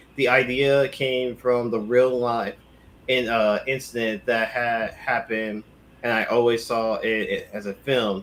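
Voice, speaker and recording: Speaking at a fairly slow pace, a man uses a medium pitch and a monotone, flat intonation. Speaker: co-host of movie news podcast. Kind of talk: casual chat.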